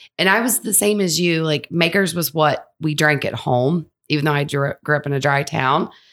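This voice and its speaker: A woman's very deep, low voice in a Kentucky accent, with ordinary pitch variation at a moderate pace. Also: hardly any pauses, very clean recording, silent background. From southern Kentucky, Monticello. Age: 40s. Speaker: whiskey blender. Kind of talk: casual chat. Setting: distillery.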